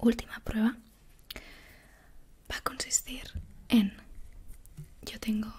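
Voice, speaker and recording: A woman is whispering. Her voice stays at a whisper throughout. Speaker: ASMR creator playing a doctor. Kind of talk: soft-spoken roleplay. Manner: soft-spoken close-mic ASMR voice. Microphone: studio mic.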